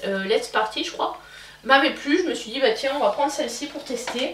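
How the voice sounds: A woman with a high-pitched, fairly bright voice talks at a moderate pace, with audible echo from the room.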